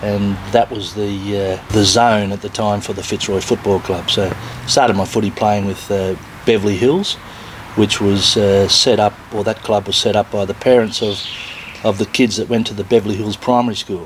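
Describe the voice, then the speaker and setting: A man speaks at a fairly low pitch and moderate pace with fairly even intonation. Noticeable background noise runs underneath. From Victoria, Australia (Melbourne). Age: 60s. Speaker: retired footballer and business owner. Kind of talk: interview.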